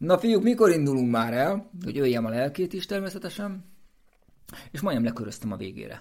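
A man at a very fast pace with very wide pitch swings, on a very clean recording with a silent background. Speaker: race walker and runner, coach. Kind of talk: casual chat.

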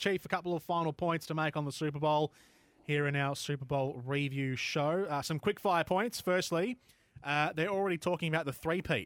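A man with an Australian accent, fairly high-pitched, at a fairly quick pace, his loudness very even, in a dry, close sound with no echo. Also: ordinary pitch variation. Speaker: sports podcast host. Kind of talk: casual sports chat. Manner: halting, many fillers.

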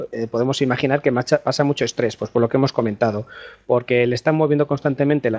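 At a very fast pace, a man speaks at a medium pitch with fairly even intonation. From Spain. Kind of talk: casual chat.

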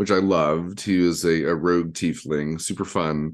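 Moving at a moderate pace, the man talks with an American accent. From Detroit, Michigan. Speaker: podcast host and streamer. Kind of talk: casual chat. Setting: video call. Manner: animated.

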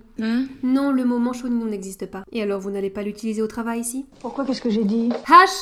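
A woman's high-pitched voice with ordinary pitch variation, over noticeable background noise. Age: 30s. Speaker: podcast host. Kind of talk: scripted narration.

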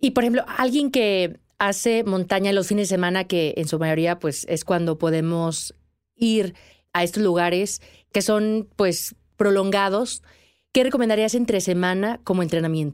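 A woman's plain, everyday voice, medium in pitch, at a fairly slow pace with very even loudness, in a very clean recording with a silent background. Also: ordinary pitch variation. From Mexico. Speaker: podcast host, mountaineer. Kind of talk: interview.

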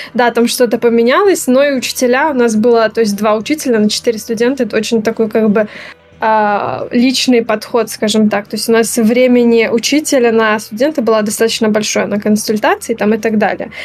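A woman with a plain, everyday voice talks at a fairly quick pace, her pitch fairly high and her intonation fairly even, with very even loudness throughout. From Belarus. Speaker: game design graduate. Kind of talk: interview.

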